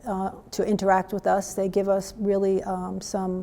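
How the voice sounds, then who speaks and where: Here is a woman with a New York accent and a dark, mellow tone. Her pitch is medium and her pace moderate. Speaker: local history commission volunteer. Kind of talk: prepared testimonial statement. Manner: halting, with fillers.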